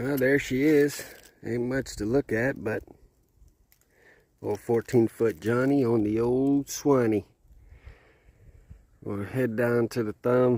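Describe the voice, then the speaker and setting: At a very slow pace, a man with a medium pitch and a dark, mellow tone speaks in a fairly even intonation, leaving long, frequent pauses, in a dry, close sound with no echo. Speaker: hunting vlogger. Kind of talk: outdoor vlog narration. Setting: outdoors.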